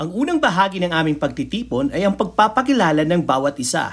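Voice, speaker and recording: The tone is upbeat. The pace is fairly quick. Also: woman. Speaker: vlogger. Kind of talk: scripted narration.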